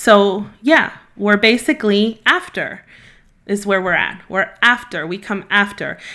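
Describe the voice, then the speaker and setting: A woman speaks at a fairly slow pace. Her tone is bright and sharp. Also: very clean recording, silent background. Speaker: podcast host, marketing agency owner. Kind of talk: solo podcast monologue.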